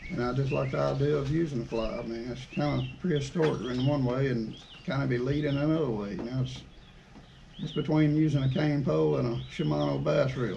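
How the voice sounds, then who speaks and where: With an Alabama accent, a man talks at a fairly quick pace amid noticeable background noise and audible room echo. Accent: Southern US (Alabama). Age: 50s. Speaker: outdoors channel host, angler. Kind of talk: podcast interview.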